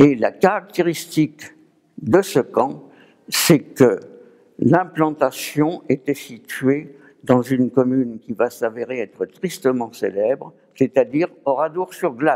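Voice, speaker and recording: Delivered at a very slow pace, the speech shows ordinary pitch variation. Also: man, fairly high pitch for a man. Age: 80s+. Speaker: war-era scout veteran. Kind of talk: testimony. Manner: measured, formal.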